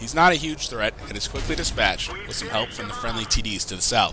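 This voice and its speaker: A man talks with lively intonation. Noticeable background noise can be heard. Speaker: gaming commentator. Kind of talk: game commentary and analysis.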